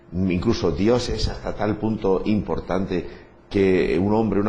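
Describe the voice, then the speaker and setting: Over noticeable background noise and audible room echo, a man talks with a very deep, low pitch. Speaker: priest and radio host. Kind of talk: radio talk show interview.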